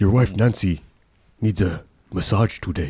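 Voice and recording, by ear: A man's put-on character voice, fairly low-pitched, at a moderate pace.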